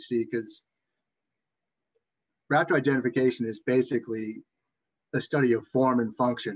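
Over light background noise, a man with a Boston accent talks at a moderate pace with fairly even intonation, big swings in loudness and long, frequent pauses. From Massachusetts. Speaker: webinar presenter on raptor identification. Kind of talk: educational presentation. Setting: online webinar. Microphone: webcam.

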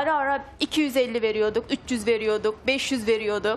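Noticeable background noise sits under this woman as she speaks at a moderate pace. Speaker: parent of two children, studio guest. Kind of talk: personal testimony. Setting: TV studio.

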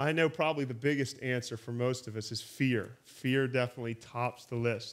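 Intonation fairly even, a man talks at a moderate pace. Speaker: teacher of a church training course. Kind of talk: lecture. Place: hall.

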